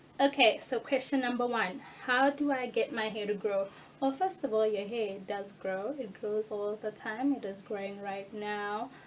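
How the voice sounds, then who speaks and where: At a moderate pace, a voice comes through noticeable background noise. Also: woman, fairly high pitch for a woman, ordinary pitch variation. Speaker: natural hair YouTuber. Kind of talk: tutorial. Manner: animated.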